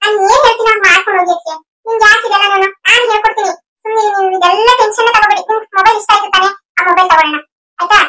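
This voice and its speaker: A woman's cartoonish character voice, extremely high in pitch and very fast. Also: fairly even intonation. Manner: confident, persuasive, reassuring.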